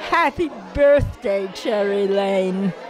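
A woman's voice with very wide pitch swings, faint music in the background. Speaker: stage actress; actress. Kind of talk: birthday greeting. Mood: warm, fond, smiling. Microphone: handheld.

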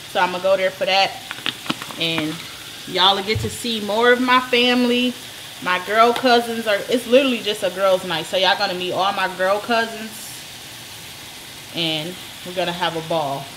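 With noticeable background noise behind her, a woman talks at a moderate pace with ordinary pitch variation and long, frequent pauses. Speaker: home cook vlogger. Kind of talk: casual vlog chat. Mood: relaxed, upbeat. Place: kitchen. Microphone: camera far.

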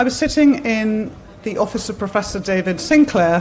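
There is light background noise as a woman speaks at a moderate pace. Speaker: speaker. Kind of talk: conference talk. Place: tent. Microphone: podium.

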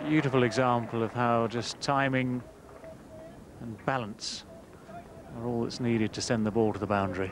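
With long, frequent pauses and fairly even intonation, a man talks at a moderate pace over noticeable background noise, the sound dry with no echo. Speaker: cricket commentator. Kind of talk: live cricket commentary.

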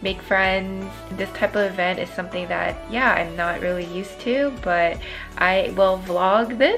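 Faint music plays in the background as the speaker keeps a moderate pace. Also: woman. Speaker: vlogger. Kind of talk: casual vlog chat. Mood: upbeat, reflective. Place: home room. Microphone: phone near.

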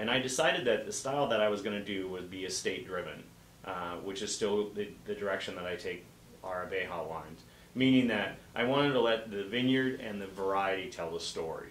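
At a fairly quick pace, a man talks with a fairly low pitch and ordinary pitch variation, with audible room echo and light background noise. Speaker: guest. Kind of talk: interview answer. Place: shop.

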